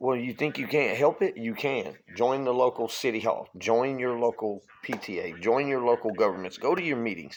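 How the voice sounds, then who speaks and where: A man speaks in an animated tone with a Louisiana accent. His pitch varies in an ordinary way. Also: medium pitch for a man, moderate pace, hardly any pauses. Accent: Southern US (Louisiana). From Louisiana, US South. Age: 40s. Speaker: political vlogger. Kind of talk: political rant.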